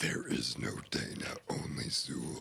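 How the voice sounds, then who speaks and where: Putting on a raspy, menacing character voice, a man talks at a fairly slow pace. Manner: menacing, eerie.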